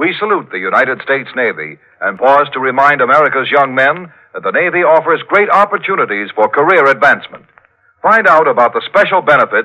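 A man's ordinary speaking voice, fairly high in pitch, with lively intonation and a fairly quick pace. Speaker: radio announcer. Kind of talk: old-time radio drama sponsor announcement. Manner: smooth, polished, formal announcer delivery.

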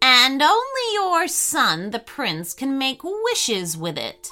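A woman uses a put-on character voice at a fairly slow pace while faint music plays in the background. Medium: read story. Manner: measured, respectful.

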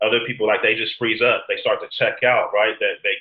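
A man with a Californian accent at a fairly quick pace. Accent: Californian American English. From San Diego, California. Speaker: mental health counselor. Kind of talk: interview conversation.

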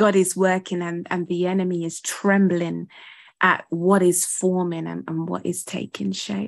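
Over a quiet background, someone with a British accent speaks at a fairly slow pace with monotone, flat intonation. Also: woman, fairly low pitch for a woman. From UK. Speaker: ministry founder and primary school teacher. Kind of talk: interview conversation.

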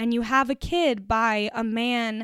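The recording is very clean, with a silent background. A woman speaks at a fairly high pitch with ordinary pitch variation. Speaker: podcast host. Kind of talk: solo podcast monologue. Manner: intense when fired up; clear, emphatic.

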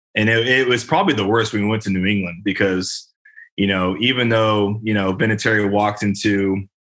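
A man talks at a fairly quick pace in a fairly low voice. He has a plain, everyday voice with fairly even intonation. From California, Bay Area. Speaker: football player. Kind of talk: casual interview.

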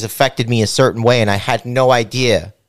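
In a very clean recording with a silent background, a man talks in an ordinary speaking voice at a medium pitch. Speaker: podcast host. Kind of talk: casual comedic interview chat. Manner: joking, crude humor.

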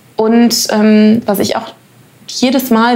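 Flat, monotone intonation comes at a very slow pace. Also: woman. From Germany. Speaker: actress. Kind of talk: interview. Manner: hesitant, many fillers.

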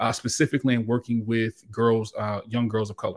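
In a very clean recording with a silent background, a man with an American accent speaks in a normal speaking voice at a medium pitch and moderate pace. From Hampton Roads, Virginia. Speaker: podcast host. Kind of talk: interview.

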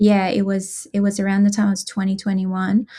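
A woman in an Iranian accent, somewhat breathy, medium in pitch, with a dark, mellow tone and monotone, flat intonation. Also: very clean recording, silent background. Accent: Iranian (Persian) accent in English. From Iran, Tehran. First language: Persian (Farsi). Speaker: activist. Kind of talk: casual interview.

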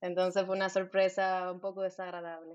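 A woman is speaking here. Her voice sits at a medium pitch. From Santo Domingo, Dominican Republic. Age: 20s. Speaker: dentist. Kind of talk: casual interview chat.

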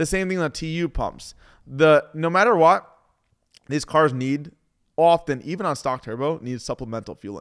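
A plain, everyday voice from a man, fairly high in pitch, with ordinary pitch variation and a moderate pace, on a very clean recording with a silent background. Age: 30s. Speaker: car tuner and shop owner. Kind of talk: casual interview. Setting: tuning shop.

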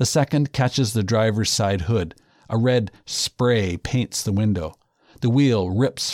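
Plain reading aloud with ordinary pitch variation, recorded over a quiet background.

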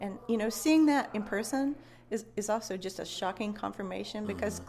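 A woman with an American accent speaks at a fairly quick pace and medium pitch. She has an unremarkable speaking voice. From West Virginia. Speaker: professor and Bigfoot researcher. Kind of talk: casual interview. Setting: interview at a conference venue.

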